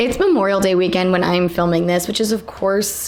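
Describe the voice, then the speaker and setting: A woman at a medium pitch with fairly even intonation, over noticeable background noise. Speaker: book reviewer. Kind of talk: casual talk to camera.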